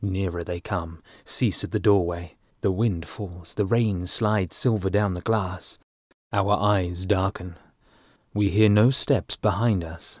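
In a very clean recording with a silent background, a man with an RP accent speaks fairly slowly in a very deep, low pitch with fairly even intonation. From England. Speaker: voice artist. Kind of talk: audiobook narration.

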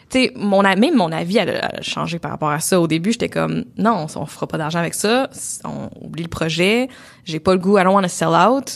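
In a Quebec accent, the speaker talks at a moderate pace with lively intonation. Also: woman, fairly low pitch for a woman. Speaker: podcast co-host and entrepreneur. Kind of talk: casual chat. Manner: gets louder and higher when passionate.

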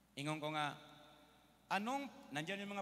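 A man is talking in an animated tone. His voice sounds bright and sharp. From Philippines. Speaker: preacher. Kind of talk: sermon. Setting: stage with audience. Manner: animated, call-and-response, keeps asking the congregation for an Amen; switches between Tagalog, English and Cebuano, with humorous asides. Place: hall. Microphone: handheld.

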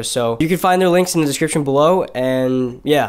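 A man's very fast talk against a quiet background. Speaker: vlogger. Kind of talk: casual vlog chat. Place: home room.

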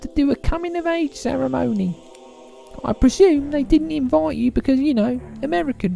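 Putting on a character voice at an extremely high pitch, a man speaks at a moderate pace over clear music in the background. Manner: warm, chatty.

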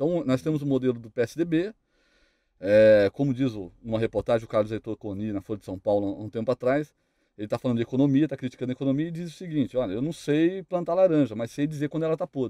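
Against a quiet background, a man speaks with lively intonation at a fairly quick pace in a fairly high pitch and a dark, mellow tone, the sound dry with no echo. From Brazil. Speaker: police detective; guest. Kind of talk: panel debate. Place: studio. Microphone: studio mic.

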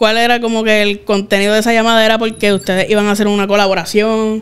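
A woman's voice with monotone, flat intonation. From Puerto Rico. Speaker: podcast host. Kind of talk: casual interview. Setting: studio. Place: studio. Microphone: studio mic.

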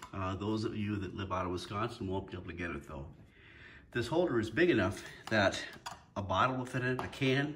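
A man's fairly low voice, fairly bright in tone, with ordinary pitch variation and a moderate pace

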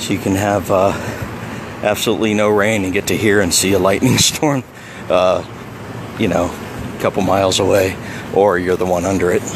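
Fairly low in pitch, a man speaks at a fairly quick pace with fairly even intonation. The sound is dry with no echo, with noticeable background noise. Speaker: local vlogger filming the beach. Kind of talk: casual vlog chat. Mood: relaxed, amused. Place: beach. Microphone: phone near.

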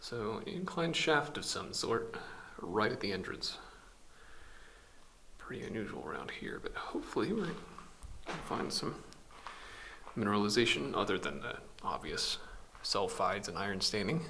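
A man at a moderate pace, with long, frequent pauses over light background noise. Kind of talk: casual vlog narration. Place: tunnel cave. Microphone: phone near.

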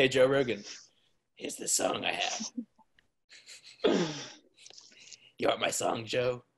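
A raspy, put-on character voice, pitched low-to-middle and delivered at a moderate pace. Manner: shady, pitching. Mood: joking, playful.

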